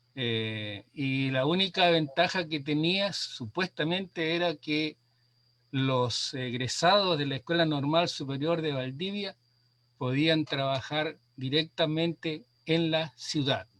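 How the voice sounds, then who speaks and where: With a fairly high pitch and ordinary pitch variation, a man speaks at a very slow pace. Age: 70s. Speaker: retired rural schoolteacher. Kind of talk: panel discussion. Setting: livestream. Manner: halting.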